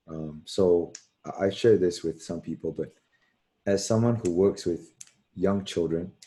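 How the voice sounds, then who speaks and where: Against a quiet background, a dark, mellow tone moves at a moderate pace with fairly even intonation. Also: man, very deep, low pitch for a man. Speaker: panelist who works with young children. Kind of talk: panel discussion. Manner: halting.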